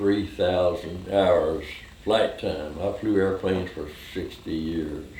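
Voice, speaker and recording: With an American accent, a man with a very deep, low pitch speaks at a very slow pace and with fairly even intonation, and audible room echo surrounds him. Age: 90s. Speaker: war veteran. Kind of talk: oral history interview. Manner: halting.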